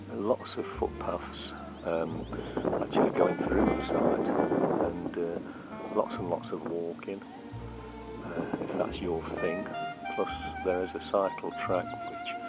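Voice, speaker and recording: The speech moves at a very slow pace with long, frequent pauses while loud music plays in the background. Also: man. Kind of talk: casual tour narration. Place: open country. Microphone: phone near.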